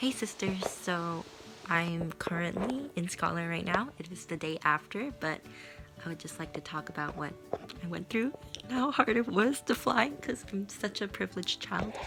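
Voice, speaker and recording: Over music in the background, a woman with a fairly low pitch talks at a moderate pace, her pitch swinging very widely. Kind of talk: casual vlog talk to camera.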